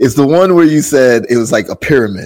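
A man speaks at a moderate pace in a New York accent. His intonation is lively. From Jamaica, then Brooklyn, New York. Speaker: podcast host. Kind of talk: casual interview chat. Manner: energetic.

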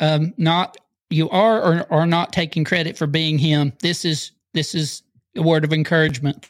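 A man with a fairly high pitch speaks at a moderate pace in a normal speaking voice, in a very clean recording with a silent background. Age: 40s. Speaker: pastor and podcast host. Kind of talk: interview.

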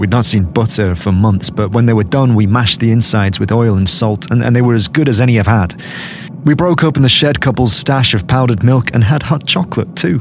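A man's medium-pitched, dramatic voice at a fairly quick pace, with ordinary pitch variation, very even loudness and noticeable background noise. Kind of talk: dramatic first-person horror narration. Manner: tense, hushed, halting, urgent; dramatic, suspenseful.

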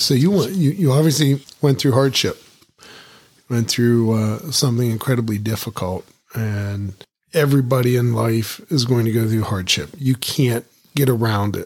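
A normal speaking voice from a man, medium in pitch, at a moderate pace with ordinary pitch variation. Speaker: podcast host. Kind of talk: interview.

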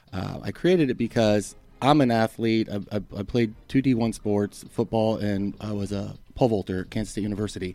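Music plays in the background as a man speaks at a fairly quick pace. His pitch is fairly low, with ordinary pitch variation. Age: 40s. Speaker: golf training aid inventor. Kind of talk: interview.

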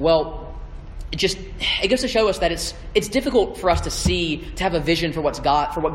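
Over noticeable background noise and audible room echo, a man speaks with a Southern US accent. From US South (Georgia and Alabama). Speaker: campus ministry intern. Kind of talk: sermon. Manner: halting.

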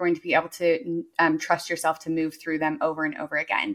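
A woman's fairly low voice, an ordinary speaking voice, at a moderate pace. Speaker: business coach and entrepreneur. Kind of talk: casual interview chat.

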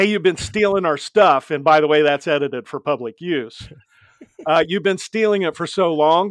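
In a normal speaking voice, a man talks at a moderate pace with ordinary pitch variation, the sound dry and close with no echo and the background quiet. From US Midwest (Ohio). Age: 60s. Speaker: safety speaker, former excavator and accident survivor. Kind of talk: testimony.

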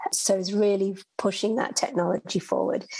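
A woman with a British accent, fairly even intonation and a moderate pace. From United Kingdom. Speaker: executive director of ocean research nonprofit. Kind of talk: interview.

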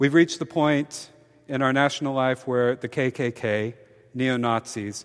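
Speaking with an American accent, a man with a plain, everyday voice talks at a moderate pace in a medium pitch with fairly even intonation. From US South, Mobile, Alabama. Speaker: priest. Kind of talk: sermon.

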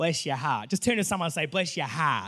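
Raising and projecting his voice, a man speaks with an Australian accent in a bright, sharp tone. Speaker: pastor. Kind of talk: sermon. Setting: church. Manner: casual, many fillers.

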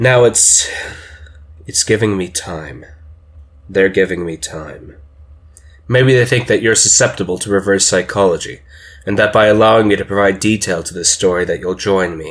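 Moderate pace, long and frequent pauses, and ordinary pitch variation. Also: man, fairly low pitch for a man. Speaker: fiction narrator. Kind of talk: dramatic narration, horror story told in first person, building creepy suspense. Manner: conversational and rambling at first, then hushed, urgent and ominous.

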